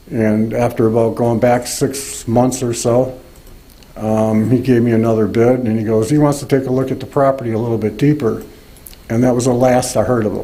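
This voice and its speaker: A man at medium pitch and a fairly quick pace, in a monotone, flat intonation, with audible room echo and noticeable background noise. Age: 60s. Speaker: resident speaking at public comment. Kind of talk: public comment at township meeting. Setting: township board meeting. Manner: halting.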